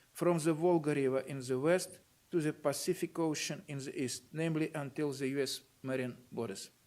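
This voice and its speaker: With a Russian accent, the speaker keeps a moderate pace and fairly even intonation. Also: man, fairly high pitch for a man. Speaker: university rector giving a lecture. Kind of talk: lecture read from notes. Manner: formal.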